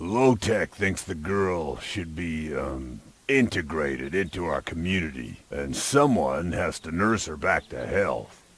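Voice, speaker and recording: Putting on a character voice, a man speaks at a very deep, low pitch with very wide pitch swings, a fairly slow pace and hardly any pauses. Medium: video game.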